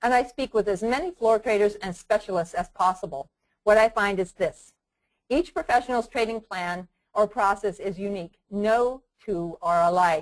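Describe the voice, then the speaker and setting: A woman with a medium pitch speaks with lively intonation. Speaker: trading educator. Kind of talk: webinar lecture. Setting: online webinar. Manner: fast.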